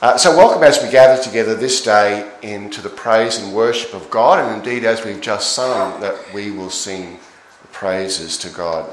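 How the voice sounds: Strong room echo surrounds a man who speaks at a moderate pace with a fairly low voice and ordinary pitch variation.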